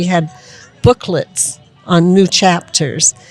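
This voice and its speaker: The intonation stays fairly even. Music plays in the background. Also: woman. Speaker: devotee, disciple of spiritual teacher. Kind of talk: interview answer. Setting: outdoors.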